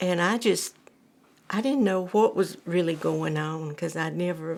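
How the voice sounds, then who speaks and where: Speaking with an Alabama accent, a woman has a fairly low pitch. Her pace is very slow. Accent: Southern US (Alabama). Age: 70s. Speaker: cancer patient. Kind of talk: testimony. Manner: halting.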